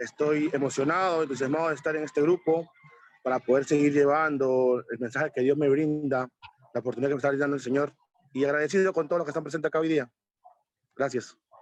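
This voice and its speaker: A man with a fairly high pitch talks at a very fast pace with fairly even intonation, the sound dry and close with no echo. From Peru. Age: 30s. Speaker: volunteer youth leader. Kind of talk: self-introduction in video call.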